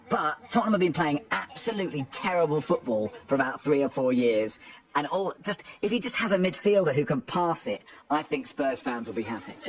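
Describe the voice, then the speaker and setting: A man with an English accent, fairly high pitch and very wide pitch swings, at a fairly quick pace amid noticeable background noise. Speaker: football commentator. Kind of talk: casual chat.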